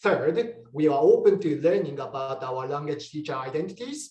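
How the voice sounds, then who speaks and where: A Japanese accent comes through at a moderate pace. The pitch moves in an ordinary way. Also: man. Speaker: English teacher researcher. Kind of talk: conference webinar presentation.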